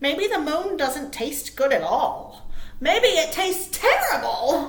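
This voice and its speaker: Using a put-on character voice, a woman speaks at an extremely high pitch. Her pace is fairly slow. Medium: read story.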